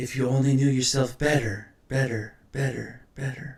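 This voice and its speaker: A man's put-on character voice at medium pitch, monotone and flat, at a moderate pace. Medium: read story. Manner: whispered, repeating words like an echo.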